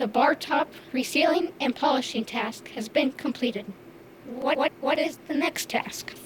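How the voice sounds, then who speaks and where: A female-sounding voice puts on a high-pitched character voice. Background noise is clear. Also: moderate pace. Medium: audio drama. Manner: halting, stutters on repeated syllables; literal, computer-like phrasing.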